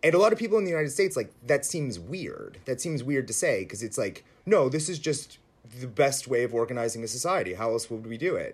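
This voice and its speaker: A man talks very fast with a fairly high, somewhat breathy voice. His pitch swings very widely. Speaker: writer. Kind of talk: interview conversation. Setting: remote interview from home.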